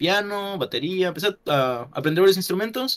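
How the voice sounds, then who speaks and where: Over a quiet background, a man speaks at a moderate pace. His high voice makes very wide pitch swings. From Yucatán, Mexico. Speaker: YouTuber. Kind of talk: casual chat. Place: home room.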